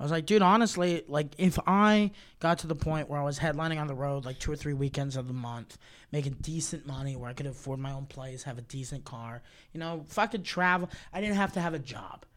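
On a very clean recording with a silent background, a man with a fairly high pitch speaks with ordinary pitch variation. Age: 20s. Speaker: stand-up comedian. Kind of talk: casual chat. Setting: studio. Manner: animated.

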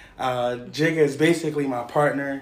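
A man's fairly high voice with audible echo from the room. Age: 30s. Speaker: podcast host. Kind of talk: casual chat.

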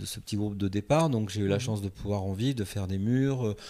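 Moving fairly quickly with ordinary pitch variation, an ordinary speaking voice comes through in a very clean recording with a silent background. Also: man. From France, Paris suburbs. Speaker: film director. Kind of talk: interview.

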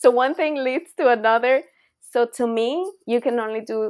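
A woman speaks with a Spanish accent and lively intonation. The recording is very clean, with a silent background. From Costa Rica. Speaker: university professor. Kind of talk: interview.

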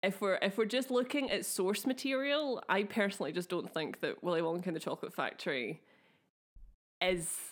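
With a Glaswegian accent, a woman speaks at a moderate pace with lively intonation. The recording is very clean, with a silent background. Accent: Glaswegian, slightly affected. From Scotland, Glasgow. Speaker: podcast co-host. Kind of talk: casual chat with storytelling. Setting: video recording.

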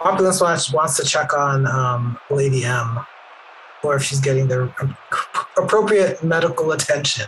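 Against noticeable background noise, a man with a fairly high pitch talks at a moderate pace with ordinary pitch variation and long, frequent pauses. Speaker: player of a wrestler character. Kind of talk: casual tabletop role-play.

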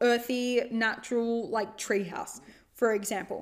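In an Australian accent, a woman talks in a high pitch. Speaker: podcast host, life coach. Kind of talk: solo self-help monologue. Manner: casual, filler-heavy.

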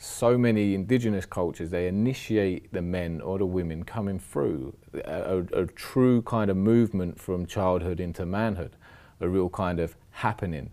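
A man with a London accent, very deep and low in pitch, in a dark, mellow tone with ordinary pitch variation at a moderate pace, on a very clean recording with a silent background. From London, south-west. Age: 40s. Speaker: former offender turned trauma worker. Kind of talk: podcast interview.

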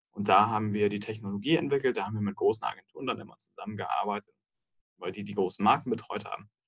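A man with a fairly low pitch and ordinary pitch variation talks at a very fast pace. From Munich, Bavaria (southern Germany). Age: 30s. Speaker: software company executive. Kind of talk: interview.

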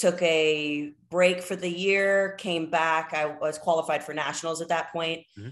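A woman with an unremarkable speaking voice talks at a fairly slow pace with hardly any pauses. Her pitch is fairly low, her intonation fairly even, and her loudness swings widely. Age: 20s. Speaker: pro bodybuilder and fitness influencer. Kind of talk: casual interview.

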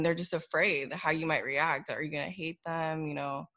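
A woman with an ordinary speaking voice talks at a fairly quick pace and fairly low pitch. The recording is very clean, with a silent background. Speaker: podcast co-host. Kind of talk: casual chat.

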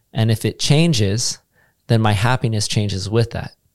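In a very clean recording with a silent background, a man with a normal speaking voice and fairly low pitch talks at a fairly quick pace. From United States. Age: 40s. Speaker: yoga teacher. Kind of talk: casual interview chat. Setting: studio.

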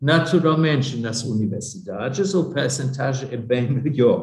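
A man speaks with a German accent and vocal fry, and the room echo is audible. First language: German (speaking Portuguese). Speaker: academic exchange organization director. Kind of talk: interview. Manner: halting.

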